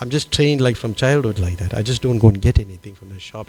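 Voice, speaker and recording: The man's words come very fast. His pitch rises and falls in an ordinary way. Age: 60s. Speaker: monk. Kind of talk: Q&A after a scripture class. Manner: halting, many fillers.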